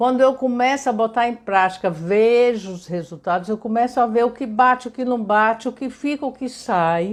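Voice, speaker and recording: On a very clean recording with a silent background, a woman talks with fairly high pitch and lively intonation. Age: 60s. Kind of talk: casual live stream talk. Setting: live stream. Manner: conversational, with hesitations.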